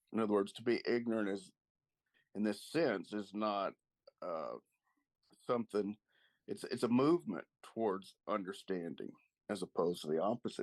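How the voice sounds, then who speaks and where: With an American accent, the speaker talks at a moderate pace with ordinary pitch variation and long, frequent pauses, recorded dry and close with no echo. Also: man. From US South, East Texas. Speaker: literature discussion guest. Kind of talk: book club discussion.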